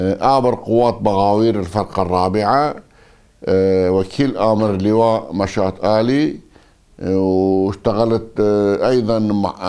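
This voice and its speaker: Against a quiet background, a man speaks very slowly at a fairly low pitch. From northern Iraq, Aqrah district near Mosul (Kurdish); northern Iraq. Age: 60s. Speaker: former politician and army officer; former politician. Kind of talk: interview. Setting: at his home. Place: home room.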